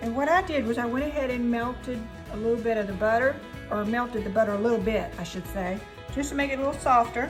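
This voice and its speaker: Over music in the background, a woman with a Southern US accent speaks at a very fast pace with a fairly high pitch and ordinary pitch variation. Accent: Southern American. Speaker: home cook. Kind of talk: cooking tutorial to camera. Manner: casual, friendly.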